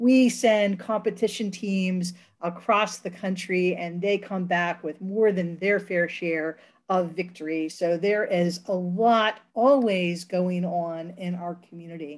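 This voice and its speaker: Against a quiet background, a woman speaks at a very slow pace with fairly even intonation. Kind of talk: presentation. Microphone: webcam.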